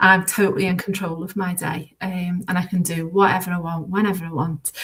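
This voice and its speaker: With a Liverpool accent, a woman speaks at a fairly quick pace and medium pitch in a monotone, flat delivery, over noticeable background noise. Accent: Scouse. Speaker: former teacher turned bookkeeper. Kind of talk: interview.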